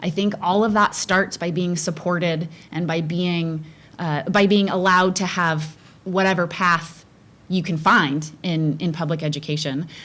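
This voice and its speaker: A woman at a fairly slow pace with fairly even intonation. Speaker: school board candidate. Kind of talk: candidate forum answer. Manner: hesitant, with fillers.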